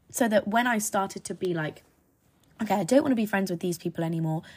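A woman with an English accent speaks in an animated tone at medium pitch, with ordinary pitch variation. The recording is very clean, with a silent background. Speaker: podcast host. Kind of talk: casual monologue. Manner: rambling, animated.

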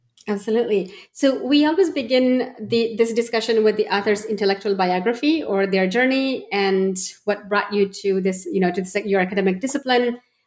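A woman with a Pashto accent talks at a fairly quick pace with hardly any pauses, her fairly high voice showing ordinary pitch variation. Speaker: podcast co-host. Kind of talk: academic interview. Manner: halting.

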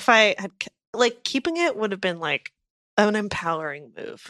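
Using a fairly high pitch with very wide pitch swings, a woman talks at a moderate pace with long, frequent pauses, the sound dry and close with no echo. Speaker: podcast co-host. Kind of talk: casual chat. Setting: bungalow with rain outside. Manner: loud.

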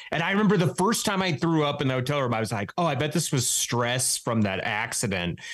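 Over noticeable background noise, a man with a fairly high pitch speaks very fast at very even loudness, hardly pausing while his pitch swings very widely. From Wyoming. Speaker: comedian and writer. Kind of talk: casual chat.

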